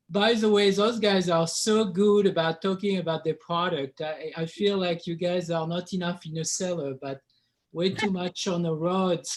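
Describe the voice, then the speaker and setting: Speaking at a moderate pace with a strong French accent, a man uses a high pitch and fairly even intonation. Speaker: winemaker. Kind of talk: casual webinar chat.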